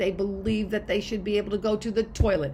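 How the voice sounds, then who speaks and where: Here a woman speaks at a medium pitch with vocal fry. Room echo is audible. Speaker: college history instructor. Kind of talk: recorded lecture to students. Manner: animated, enthusiastic.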